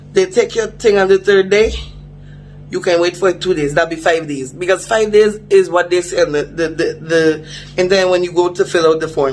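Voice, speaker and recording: With music in the background, a man with a high pitch talks at a moderate pace and with fairly even intonation. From Dominica. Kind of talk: casual vlog to camera.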